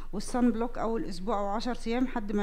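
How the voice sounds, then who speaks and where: A woman speaks at a very fast pace with ordinary pitch variation. Her tone is dark and mellow. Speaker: dermatology professor demonstrating. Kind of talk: lecture. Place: hall. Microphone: headset.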